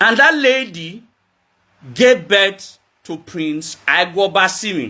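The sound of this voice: Speaking at a slow pace, a man with a high pitch shows lively intonation and a bright, sharp tone.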